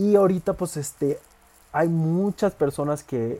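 Speaking with ordinary pitch variation, a man has a dark, mellow tone. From Mexico, Villahermosa, Tabasco. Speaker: podcaster and fitness content creator. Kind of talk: casual monologue.

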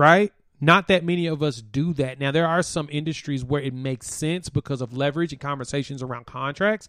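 A man with an unremarkable speaking voice talks at a fairly quick pace with hardly any pauses, fairly high in pitch with ordinary pitch variation, in a very clean recording with a silent background. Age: 30s. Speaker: sports podcast host. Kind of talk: solo sports talk show. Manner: casual, conversational.

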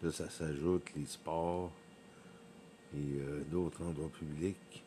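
Over noticeable background noise, the speech has a monotone, flat intonation. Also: man. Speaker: podcaster, former event worker. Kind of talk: casual monologue. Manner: halting, many hesitations.

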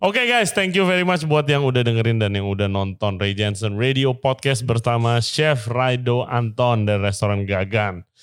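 A man's fairly quick, lively speech with an Indonesian accent at a medium pitch, very even in loudness, on a very clean recording with a silent background. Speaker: podcast host. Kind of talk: casual interview chat, Indonesian-English code-switching; show intro and outro.

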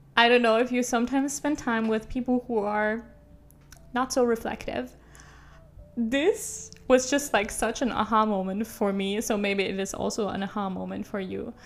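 Spoken at a moderate pace with fairly even intonation, the clip carries noticeable background noise. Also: woman, fairly high pitch for a woman. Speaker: podcast host. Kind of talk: casual monologue. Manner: relaxed, laid back.

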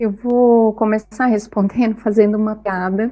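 Speaking at a moderate pace, a woman uses a fairly high pitch, a dark, mellow tone and monotone, flat intonation. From southern Brazil, Itajaí, Santa Catarina. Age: 40s. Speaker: psychologist. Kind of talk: casual chat.

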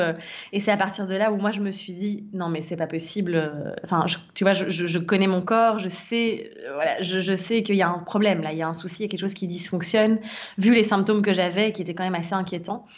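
A woman at a medium pitch speaks at a fairly quick pace with fairly even intonation, amid noticeable background noise and audible room echo. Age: 30s. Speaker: wellness and life coach. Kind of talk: casual interview testimony.

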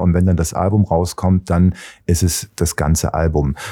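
Dark and mellow in tone, a man with a very deep, low pitch speaks at a fairly slow pace in a dry, close sound with no echo. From Baden-Baden, southwest Germany (born in Leipzig). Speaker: DJ and music producer. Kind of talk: casual interview. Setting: studio.

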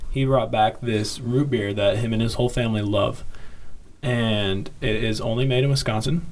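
In an American accent, a man talks at a medium pitch and a moderate pace with fairly even intonation. His loudness stays very even, and room echo is audible. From Kansas City. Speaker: podcast co-host. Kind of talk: casual chat.

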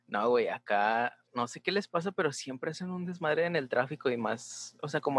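Talking at a fairly quick pace, a man speaks with a Mexican accent. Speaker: podcast host and design student. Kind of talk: casual chat.

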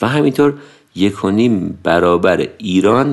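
This man has a normal speaking voice pitched fairly low. He talks at a moderate pace with ordinary pitch variation. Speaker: podcast narrator. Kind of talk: scripted narration.

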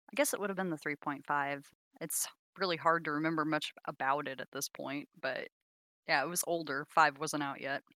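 On a very clean recording with a silent background, a woman speaks at a fairly quick pace in a very deep, low voice with a bright, sharp tone and fairly even intonation, the sound dry and close with no echo. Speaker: tabletop game player. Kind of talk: casual chat. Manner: a little podcast shy.

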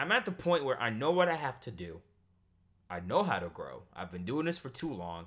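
A man with a bright, sharp, animated tone and vocal fry talks at a fairly quick pace with very wide pitch swings, in a very clean recording with a silent background. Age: 20s. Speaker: YouTuber and podcaster. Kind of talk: casual monologue.

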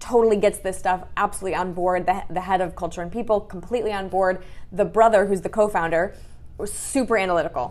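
This woman has a Midwestern American accent and a medium-pitched voice. She talks at a fairly quick pace with fairly even intonation. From Michigan, US. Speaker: business coach. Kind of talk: interview.

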